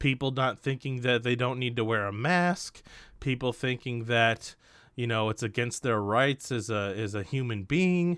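This man uses a normal speaking voice at medium pitch, with ordinary pitch variation and a moderate pace. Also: very clean recording, silent background. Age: 30s. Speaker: gaming YouTuber and podcaster. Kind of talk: solo casual podcast monologue.

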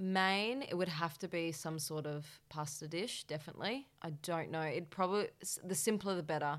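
A speaker with an Australian accent talks at a moderate pace with ordinary pitch variation and hardly any pauses, on a very clean recording with a silent background. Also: woman, fairly low pitch for a woman. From Western Australia, Perth. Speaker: cooking show contestant and creative director. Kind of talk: casual interview. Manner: animated.

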